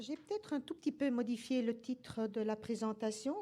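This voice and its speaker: A woman's fairly high voice with a dark, mellow tone, a moderate pace and fairly even intonation. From Belgium. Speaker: nursing professor. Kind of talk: lecture.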